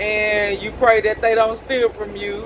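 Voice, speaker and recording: A woman speaks at a fairly high pitch and a very slow pace. Noticeable background noise runs behind her. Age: 50s. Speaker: school bus driver. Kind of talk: casual vlog monologue. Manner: loud.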